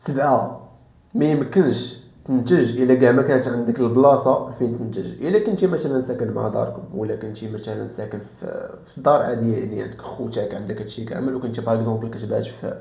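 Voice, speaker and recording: A man with a medium pitch talks at a fairly quick pace with hardly any pauses and ordinary pitch variation. His loudness swings widely over noticeable background noise. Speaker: self-improvement YouTuber. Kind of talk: casual talk to camera.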